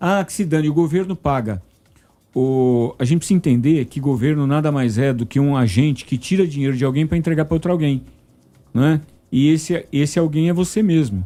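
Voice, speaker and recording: A man's fairly high voice, dark and mellow in tone, at a fairly quick pace with ordinary pitch variation. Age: 60s. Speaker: university professor and economic commentator. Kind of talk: news talk show discussion. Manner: animated.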